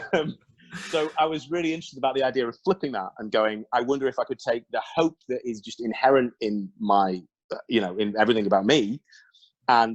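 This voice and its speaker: With an English accent, this man talks at a moderate pace, his intonation lively. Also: dry, close sound with no echo. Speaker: songwriter. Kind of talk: interview conversation. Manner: animated.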